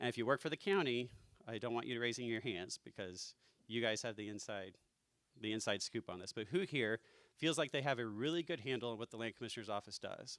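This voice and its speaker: Medium in pitch, this man talks at a very fast pace. His pitch variation is ordinary. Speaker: political candidate. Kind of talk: campaign speech. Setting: dinner event with audience.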